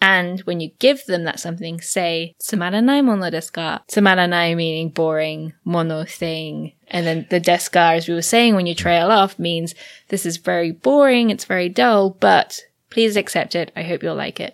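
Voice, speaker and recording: Recorded very cleanly against a silent background, a woman speaks at a moderate pace with a fairly low pitch and ordinary pitch variation. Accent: English. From England. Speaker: podcast host, Japanese translator. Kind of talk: casual chat.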